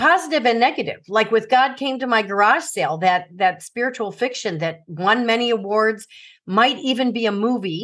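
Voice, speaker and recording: A woman with an American accent has a plain, everyday voice, fairly high in pitch, with lively intonation at a moderate pace. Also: quiet background. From US Midwest, Chicago suburbs. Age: 60s. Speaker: author and former teacher. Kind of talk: interview about personal trauma.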